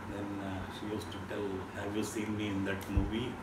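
Loud background noise behind a man speaking at a moderate pace. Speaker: interview guest. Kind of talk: interview answer, storytelling. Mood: warm, nostalgic, amused. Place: home room. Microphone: camera far.

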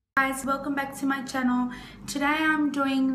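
A woman's high-pitched voice holds a monotone, flat intonation at a moderate pace, with audible room echo and light background noise. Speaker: beauty vlogger. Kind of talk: casual vlog chat. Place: home room. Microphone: phone near.

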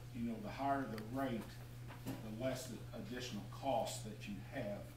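A man at a fairly slow pace, fairly even in intonation, with noticeable background noise and audible room echo. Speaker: council presenter. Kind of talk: meeting briefing. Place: hall.

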